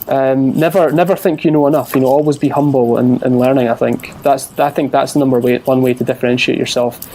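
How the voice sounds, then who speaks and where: A man with a Scottish accent at a very fast pace, medium in pitch, hardly pausing, with fairly even intonation, very even loudness, and noticeable background noise. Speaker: entrepreneur, podcast guest. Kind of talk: interview answer.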